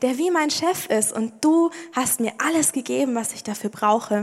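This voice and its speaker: With lively intonation and a warm, animated tone, a woman speaks fairly slowly at a high pitch. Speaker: preacher. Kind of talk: sermon in church, personal and conversational, with prayer. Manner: animated, casual, humorous storytelling; warm, direct address to listeners.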